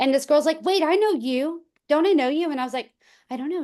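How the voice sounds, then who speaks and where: In a slight country accent, a woman talks with lively intonation. The background is quiet. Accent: slight country twang. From rural small town. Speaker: real estate agent, former teacher. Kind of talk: casual chat.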